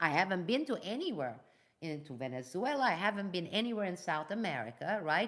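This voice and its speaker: Speaking at a fairly quick pace, a woman with a Turkish accent uses a medium pitch that moves in very wide swings. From Turkey and Iran. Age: 50s. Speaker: geopolitical analyst and whistleblower. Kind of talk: live news commentary. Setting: live video stream. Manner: animated.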